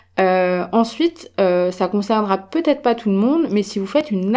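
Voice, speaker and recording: Fairly slow and dark, mellow in tone, a woman's voice sits at a medium pitch. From France. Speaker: podcast host. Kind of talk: casual solo podcast talk.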